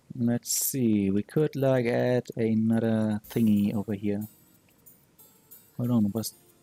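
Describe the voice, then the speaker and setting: Music in the background behind a man with a non-native accent, medium pitch, monotone, flat intonation, a very slow pace, long, frequent pauses and a dry, close sound with no echo. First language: not English. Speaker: modding tutorial streamer. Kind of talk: live-streamed software tutorial. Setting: live stream. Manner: halting, with frequent fillers.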